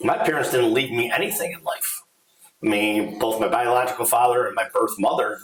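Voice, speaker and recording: Lively intonation marks this man's unremarkable speaking voice, set at medium pitch and a fairly quick pace. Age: 60s. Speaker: financial advisor and business owner. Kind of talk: podcast conversation.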